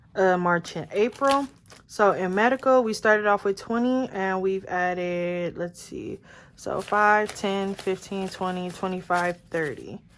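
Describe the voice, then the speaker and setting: In a very clean recording with a silent background, a woman speaks in a plain, everyday voice at medium pitch, with ordinary pitch variation and a fairly slow pace. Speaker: budgeting vlogger. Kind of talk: casual vlog tutorial.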